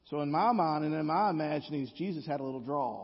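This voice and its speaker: This man has a Southern US accent. His pitch sits fairly high. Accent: Southern US drawl. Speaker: guest preacher. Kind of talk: sermon. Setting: church.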